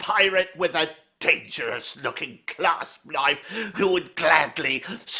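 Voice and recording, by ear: The text is read aloud in a natural voice, its intonation fairly even.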